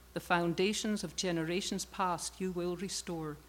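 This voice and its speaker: Fairly slow female speech at medium pitch on a very clean recording with a silent background. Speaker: scripture reader. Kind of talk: reading aloud. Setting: church.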